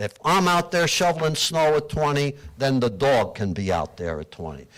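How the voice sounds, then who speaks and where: Through noticeable background noise, a man with fairly high pitch speaks at a moderate pace, his pitch swinging very widely. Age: 80s+. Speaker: resident speaking at public comment. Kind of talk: public comment at council meeting. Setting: township council meeting. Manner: animated.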